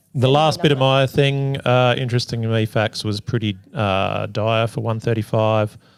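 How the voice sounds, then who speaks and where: Here a man with an Australian accent speaks at a medium pitch with hardly any pauses. His intonation stays fairly even. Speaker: podcast co-host. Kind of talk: casual chat. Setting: live in a hotel. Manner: slower than usual.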